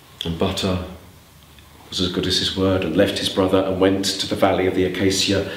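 Speaking at a fairly quick pace with a very deep, low pitch, a man delivers his lines in an animated, dramatic tone over audible room echo. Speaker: storyteller. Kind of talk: live storytelling performance. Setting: storytelling club with audience. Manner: animated, conversational, dramatic; playful, with asides to audience. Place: hall. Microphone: camera far.

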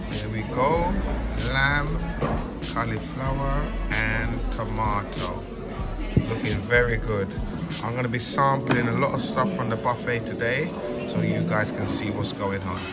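Loud music plays in the background as a man speaks. His pace is fairly slow, with long, frequent pauses. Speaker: travel vlogger. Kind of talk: casual vlog chat. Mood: cheerful, playful. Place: cafe. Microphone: phone near.

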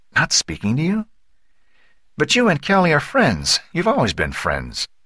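A man puts on a character voice that sits fairly high, with a bright, sharp tone, a slightly husky edge, very wide pitch swings and a moderate pace, on a very clean recording with a silent background.

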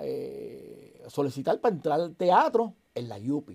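Against a quiet background, a man speaks. His tone is dark and mellow. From southern Puerto Rico (Santa Isabel); Puerto Rico. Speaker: actor and comedian; actor, comedian. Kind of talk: casual interview chat. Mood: animated storytelling. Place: studio.

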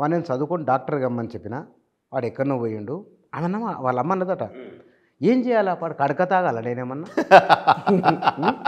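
A man's fairly high voice moves through very wide pitch swings. The background is quiet. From Telangana, Warangal; Telangana. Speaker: journalist interviewer. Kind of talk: interview. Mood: animated, smiling. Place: studio.

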